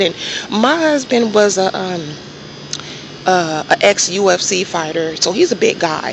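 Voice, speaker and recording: A soft-spoken woman talks over noticeable background noise. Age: 30s. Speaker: vlogger, registered nurse. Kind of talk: casual monologue vlog. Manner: halting.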